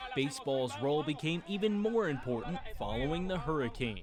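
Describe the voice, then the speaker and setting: A man with a fairly high pitch talks at a fairly quick pace, swinging his pitch very widely. Noticeable background noise is present. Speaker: sports host and reporter. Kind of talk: news package narration.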